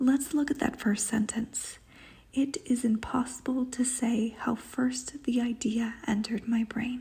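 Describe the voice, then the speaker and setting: A quiet whisper at a fairly slow pace. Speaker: book vlogger. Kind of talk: literary analysis. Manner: whispering.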